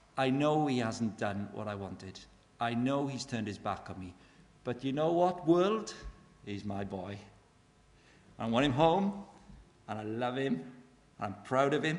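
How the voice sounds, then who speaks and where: A man with a Welsh accent speaks at a medium pitch with lively intonation. His speech has long, frequent pauses. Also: moderate pace. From Wales. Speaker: evangelist speaker. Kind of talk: evangelistic talk. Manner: animated.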